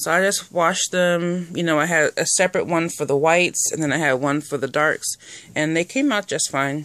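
Moderate pace, dry sound with no echo, and a quiet background. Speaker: reborn doll collector vlogger. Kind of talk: casual vlog show-and-tell. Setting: at home folding laundry. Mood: cheerful, pleased. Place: home room. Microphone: phone near.

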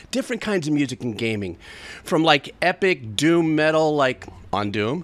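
A man's fairly high voice with lively intonation at a moderate pace. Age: 60s. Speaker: music reaction streamer; music reaction youtuber. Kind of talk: casual monologue to camera; casual vlog chat. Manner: rambling, stream of consciousness. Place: home room. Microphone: studio mic.

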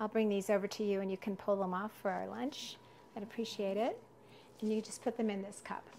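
A woman speaks at a fairly quick pace with fairly even intonation and a dark, mellow tone. Light background noise is present. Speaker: herbal foraging teacher. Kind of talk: live class tutorial. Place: kitchen.

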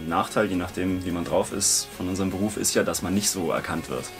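With clear music in the background, a man speaks at a fairly quick pace in a very deep, low voice. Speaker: voice actor. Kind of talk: interview answer. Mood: relaxed, casual. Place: booth.

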